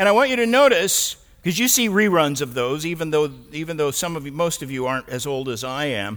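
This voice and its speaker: A man with an American accent, talking at a fairly quick pace with very wide pitch swings. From United States. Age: 70s. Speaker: pastor. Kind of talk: sermon.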